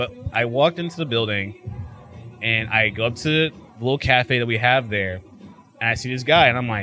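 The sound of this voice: At a fairly quick pace, a man speaks in a medium pitch with ordinary variation. Music plays in the background, and he leaves long, frequent pauses.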